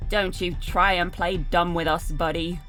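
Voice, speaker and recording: A growling, put-on character voice at a middle pitch and moderate pace, over clear background noise. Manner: snarling, menacing.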